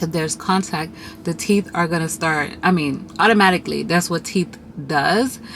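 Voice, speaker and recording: A woman's fairly low voice at a moderate pace with ordinary pitch variation, over noticeable background noise. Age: 30s. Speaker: vlogger. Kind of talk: casual chat. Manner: chatty.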